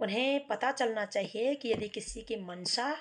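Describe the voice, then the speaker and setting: A woman speaks with a Garhwali accent. Her pitch varies an ordinary amount. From Uttarakhand, Garhwal region. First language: Garhwali (speaking Hindi). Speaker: social commentator and poet. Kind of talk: speech to camera on social issues. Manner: earnest, declamatory.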